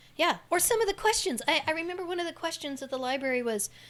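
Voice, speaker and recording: A loud woman speaking at a very fast pace with lively intonation. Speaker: chamber of commerce director and city council candidate. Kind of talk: casual interview conversation.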